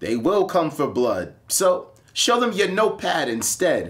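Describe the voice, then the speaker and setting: A fairly slow American-accented man's voice, high for a man, with very wide pitch swings over noticeable background noise. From Akron, Ohio. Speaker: spoken word poet. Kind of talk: slam poetry performance.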